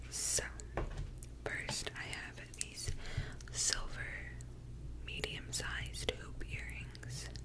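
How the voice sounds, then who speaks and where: Over loud background noise, a woman speaks at a very slow pace. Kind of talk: casual vlog chat, soft ASMR-like. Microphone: studio mic.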